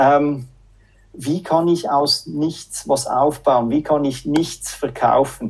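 The man's pitch is fairly high for a man. He speaks very slowly with fairly even intonation. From Switzerland, Zürich. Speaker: sales manager. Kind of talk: casual interview. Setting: video call.

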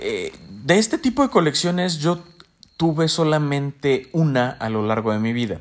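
Moving at a moderate pace, a man speaks at a fairly high pitch with very wide pitch swings. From Mexico. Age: 20s. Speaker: podcast host. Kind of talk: casual monologue.

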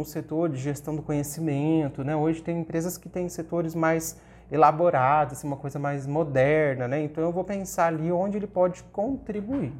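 A man with an ordinary speaking voice talks at a moderate pace, fairly high in pitch, with ordinary pitch variation and hardly any pauses. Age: 30s. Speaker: professor. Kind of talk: interview.

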